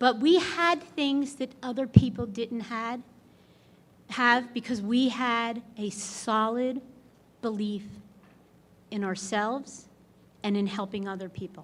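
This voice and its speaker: In a very clean recording with a silent background, a woman with a fairly high pitch speaks loudly at a very slow pace, with ordinary pitch variation and long, frequent pauses. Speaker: award inductee. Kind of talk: acceptance speech.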